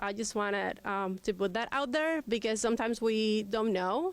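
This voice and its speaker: A fairly high-pitched woman with a Spanish accent and ordinary pitch variation, on a very clean recording with a silent background. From Cuba. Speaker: immigrant rights advocate. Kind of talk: panel talk. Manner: hesitant, many fillers.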